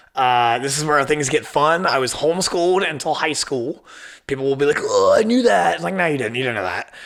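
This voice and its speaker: This is an unremarkable speaking voice from a man, pitched fairly high. His intonation is lively. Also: fairly quick pace. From southern Ohio. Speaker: podcast host. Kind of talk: casual monologue. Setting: studio in old firehouse. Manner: casual, filler-heavy.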